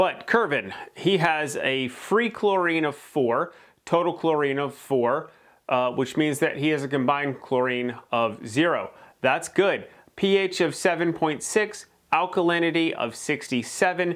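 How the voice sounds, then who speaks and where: Against a quiet background, a man talks at a very slow pace. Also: ordinary pitch variation. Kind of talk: tutorial. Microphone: lapel.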